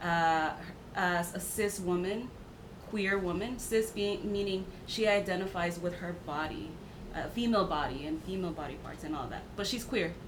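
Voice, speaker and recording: A woman with an American accent speaks at a medium pitch and moderate pace, her intonation fairly even, amid audible room echo and noticeable background noise. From Mexico, then US. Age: 30s. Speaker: podcast guest. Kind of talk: casual chat.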